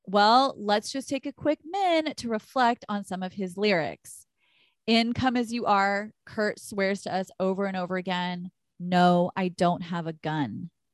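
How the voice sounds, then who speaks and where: In an American accent, a woman speaks with an animated tone at medium pitch and a fairly slow pace, in a dry, close sound with no echo and a quiet background. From Texas. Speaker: podcast co-host, astrology. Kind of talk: casual chat. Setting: recording over internet in separate rooms of a house. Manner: animated, loud.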